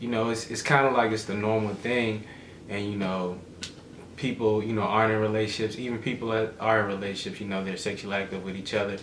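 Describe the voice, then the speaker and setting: Over noticeable background noise and audible room echo, a man talks very fast in a fairly low pitch with monotone, flat intonation. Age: 20s. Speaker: vlogger's boyfriend. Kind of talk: casual chat.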